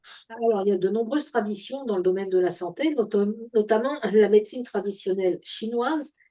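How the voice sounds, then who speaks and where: A woman speaks in a fairly high pitch with ordinary pitch variation. Her pace is fairly quick. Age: 60s. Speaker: product presenter. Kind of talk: sales pitch. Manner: halting, many fillers.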